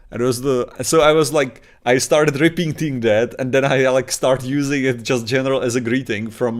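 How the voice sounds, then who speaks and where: On a very clean recording with a silent background, the speaker talks in a Czech accent at a moderate pace with fairly even intonation. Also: man. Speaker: podcast co-host. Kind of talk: casual chat. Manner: halting.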